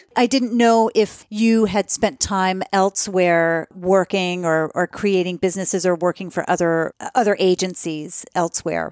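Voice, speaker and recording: A plain, everyday voice at a fairly slow pace, with fairly even intonation, very even loudness and hardly any pauses, in a dry, close sound with no echo and a very clean recording, silent background. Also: woman, medium pitch for a woman. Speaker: podcast host. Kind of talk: interview question.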